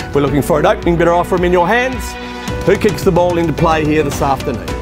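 A man's high voice at a very fast pace, ordinary pitch variation, dry sound with no echo, and clear music in the background. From Australia. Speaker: real estate auctioneer. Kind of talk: live property auction calling. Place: street.

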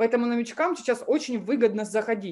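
Against a quiet background, a woman in a normal speaking voice talks at a fairly high pitch with lively intonation. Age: 20s. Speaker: MLM coach; webinar presenter. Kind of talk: webinar presentation. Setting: live stream with chat. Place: home room. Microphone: webcam.

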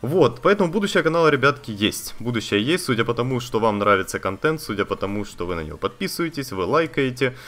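Very fast pace with very wide pitch swings. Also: man. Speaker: gaming YouTuber. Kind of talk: casual vlog to viewers. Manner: conversational, with fillers. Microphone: new budget condenser studio microphone.

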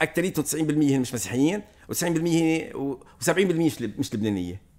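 Over a quiet background, a man with a fairly high pitch and lively intonation speaks at a fairly slow pace. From Lebanon. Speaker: priest. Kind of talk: casual chat. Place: home room. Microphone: studio mic.

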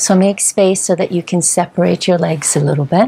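This woman's pitch sits fairly low. Her pitch varies in an ordinary way. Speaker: yoga instructor. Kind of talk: guided yoga instruction. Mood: calm, soothing. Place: home room.

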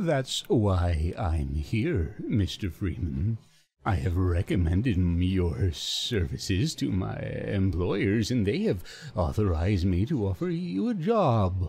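In a very clean recording with a silent background, a man puts on a very deep, low character voice with a smug, menacing tone at a fairly slow pace. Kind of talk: mock-ominous video game impression. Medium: solo performance. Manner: slow, measured, unsettling, oddly phrased pauses; smug, quietly menacing.

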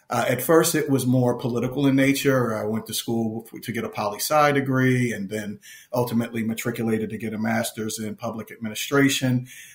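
A man talks in a plain, everyday voice at a medium pitch. He goes at a fairly quick pace with hardly any pauses. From Philadelphia. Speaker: nonprofit executive. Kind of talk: interview.

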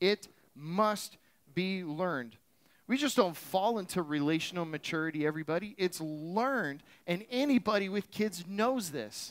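Speaking in an American accent, a man uses a high pitch and lively intonation at a moderate pace. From Florida. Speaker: pastor. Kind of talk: sermon. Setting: church with live audience. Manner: animated. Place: church.

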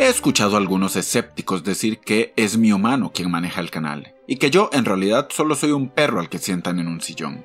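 The man's voice sits fairly low in pitch, with very wide pitch swings. Music can be heard in the background. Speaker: comedian. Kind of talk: comedic mock-serious address to camera.

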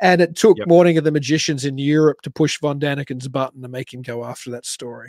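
With an Australian accent, a man at a fairly high pitch talks very fast with hardly any pauses, ordinary pitch variation, and big swings in loudness, in a dry sound with no echo against a quiet background. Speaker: podcast co-host. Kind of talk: casual chat. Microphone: video call.

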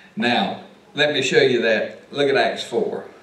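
A man talks with very wide pitch swings. Audible room echo surrounds his voice. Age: 50s. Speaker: pastor teaching Sunday school. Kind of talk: Sunday school Bible lesson. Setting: church. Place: church. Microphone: camera far.

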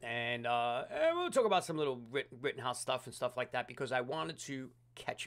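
This is a man's voice. He talks at a very fast pace. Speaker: livestream host. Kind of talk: casual livestream chat. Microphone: studio mic.

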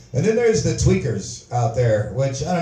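A man's fairly quick speech with audible room echo. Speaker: open mic comedian. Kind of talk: stand-up comedy routine. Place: stage. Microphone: pa.

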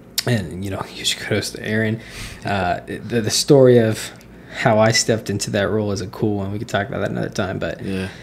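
Noticeable background noise sits behind a man with an American accent. His pitch is fairly low, his intonation fairly even, and his pace fairly quick. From US Midwest, Indiana. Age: 20s. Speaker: basketball coach. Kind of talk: casual interview, faith testimony. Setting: studio. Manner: halting, many fillers.

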